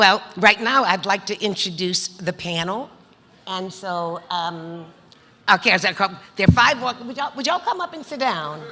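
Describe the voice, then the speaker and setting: Speaking at a moderate pace with a medium pitch, this woman uses lively intonation and big swings in loudness over noticeable background noise. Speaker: panel moderator, business lender. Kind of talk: panel introduction.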